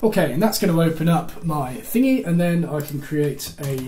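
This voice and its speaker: A man's fairly high voice amid noticeable background noise and audible room echo. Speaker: woodworking video creator. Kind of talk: screen-recorded tutorial. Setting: workshop. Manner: casual, thinking aloud; stutters, messes up sentences.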